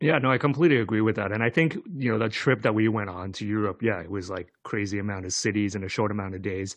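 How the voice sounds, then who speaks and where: A man's fairly low voice with ordinary pitch variation, at a very fast pace with hardly any pauses, over a quiet background. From Asia. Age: 40s. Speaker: podcast co-host. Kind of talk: casual chat.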